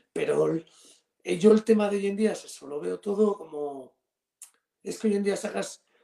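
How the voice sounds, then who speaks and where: A man is speaking. His pace is fairly slow. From Spain, Cantabria. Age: 50s. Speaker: rock guitarist and singer. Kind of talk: interview. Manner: halting, repeats words.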